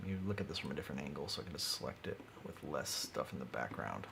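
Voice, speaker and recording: A man talks very fast as noticeable background noise runs underneath. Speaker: maker livestreaming CAD design. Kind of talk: live stream tutorial. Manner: mumbling at times; halting, thinking aloud.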